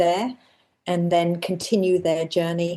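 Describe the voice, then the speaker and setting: In an English accent, a woman with a fairly low, dark and mellow voice speaks fairly slowly. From England. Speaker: member of a women's ski training group. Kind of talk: casual interview chat.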